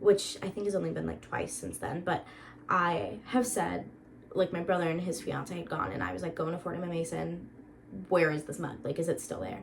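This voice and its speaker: A woman with an American accent talks in an animated tone at a fairly quick pace. Noticeable background noise and audible room echo fill the recording. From Florida, US. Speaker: vlogger. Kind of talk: casual vlog chat. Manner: animated, chatty.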